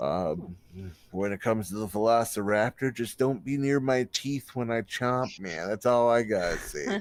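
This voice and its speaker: A put-on character voice drawls its words. It moves at a moderate pace. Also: man, medium pitch for a man. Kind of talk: stoner-style surfer drawl. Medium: actual play. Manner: laid-back, drawling, ends sentences with "man".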